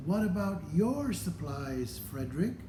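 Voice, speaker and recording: Against loud background noise and slight echo, a man puts on a character voice with a fairly high pitch at a fairly slow pace. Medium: read story. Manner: eager, anxious.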